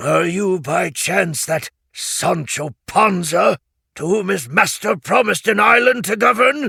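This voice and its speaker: A raspy, put-on character voice is raised and projected at a fairly slow pace. The sound is dry and close with no echo. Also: man, high pitch for a man. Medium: read story. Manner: stern and contemptuous.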